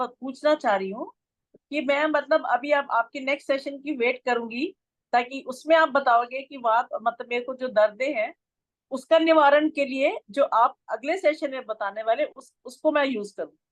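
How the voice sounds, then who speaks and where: The sound is dry and close, with no echo. A woman talks in a high pitch with ordinary pitch variation. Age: 60s. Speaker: class participant. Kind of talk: Q&A discussion.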